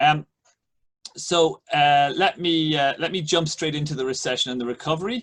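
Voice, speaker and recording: A man with an Irish accent and a fairly high pitch. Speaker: economics professor. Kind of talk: lecture. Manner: halting, many fillers.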